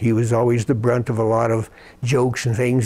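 With an American accent, a man talks at a medium pitch and a moderate pace. His tone is dark and mellow. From Colorado. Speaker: retired nuclear plant engineer. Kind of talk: oral history interview. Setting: at home. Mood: reflective, warm. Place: home room. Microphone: lapel.

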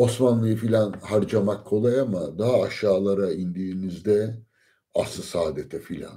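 Speaking at a moderate pace in a quiet background, a man uses a fairly low pitch, ordinary pitch variation and a dark, mellow tone. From Turkey. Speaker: lecturer. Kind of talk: lecture. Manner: hesitant with many fillers. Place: home room. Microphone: phone near.

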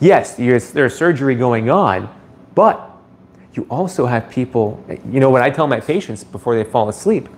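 A man's voice with lively intonation at a moderate pace. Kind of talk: live stream chat answering viewers. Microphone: phone near.

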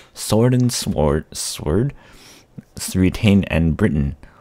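Soft-spoken and calm, a man talks at a very slow pace with very wide pitch swings. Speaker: vlogger / gaming YouTuber. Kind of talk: poetry reading, soothing read-out to help sleep. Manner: calm, soft, slow.

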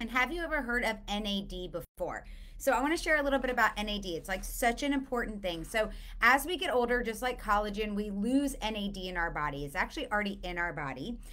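A woman talks fast with lively intonation. Her pitch sits in the medium range.

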